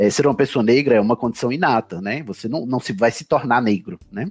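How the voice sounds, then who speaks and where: A man speaks at a fairly quick pace, with music in the background. The sound is dry and close, with no echo. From Campina Grande, Paraíba, northeastern Brazil. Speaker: podcaster and federal civil servant. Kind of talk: interview conversation.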